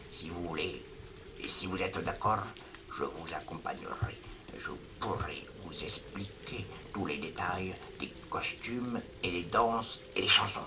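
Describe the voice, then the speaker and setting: Over loud background noise, a man whispers in a gravelly, put-on character voice at a fairly slow pace with long, frequent pauses. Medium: read story. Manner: earnest, slightly halting French.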